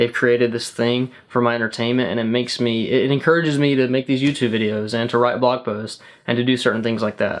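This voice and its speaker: His intonation fairly even, a man talks at a very fast pace. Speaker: YouTuber. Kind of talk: casual vlog talk to camera. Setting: sitting in front of the camera. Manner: rambling.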